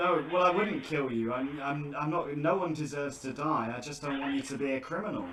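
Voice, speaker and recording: With a British accent, a man talks at a fairly quick pace in a fairly high pitch with ordinary pitch variation, amid audible room echo and noticeable background noise. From Britain. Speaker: scam-baiter YouTuber. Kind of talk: phone conversation with scammer. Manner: halting, stammering.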